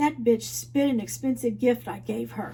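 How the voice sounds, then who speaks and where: A woman puts on a raspy character voice at a moderate pace. Background noise is clearly audible. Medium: read story. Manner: sneering.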